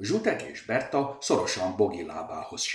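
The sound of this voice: The reading voice here is unforced.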